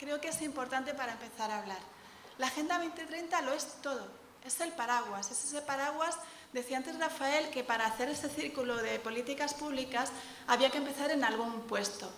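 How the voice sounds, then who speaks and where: A woman speaks at a high pitch with ordinary pitch variation and a fairly quick pace. Audible room echo and noticeable background noise fill the recording. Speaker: civil servant, urban policy official. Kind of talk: conference talk. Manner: fast.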